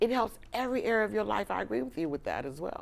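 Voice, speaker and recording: At a medium pitch, a woman speaks in an animated tone with vocal fry and very wide pitch swings. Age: 60s. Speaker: talk show host. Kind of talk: interview.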